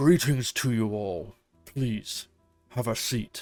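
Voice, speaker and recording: Very slowly, a man speaks in a put-on character voice. His pitch is medium with ordinary variation, and faint music plays behind him. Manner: slow, deliberate, calm.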